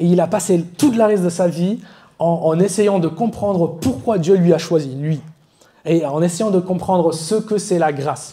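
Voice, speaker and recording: Fairly slowly, a man speaks in a high voice with a dark, mellow tone. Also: ordinary pitch variation. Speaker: preacher. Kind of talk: sermon. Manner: halting, self-correcting.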